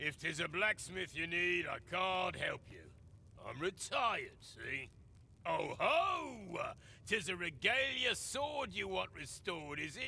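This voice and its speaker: A man shouts in a gruff, grumpy put-on character voice at a fairly slow pace. Background noise is clearly audible. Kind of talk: archaic fantasy speech. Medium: video game.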